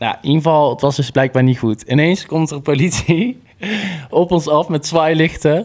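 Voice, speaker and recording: Ordinary pitch variation from a man, at a moderate speed. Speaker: podcast co-host. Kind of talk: casual chat.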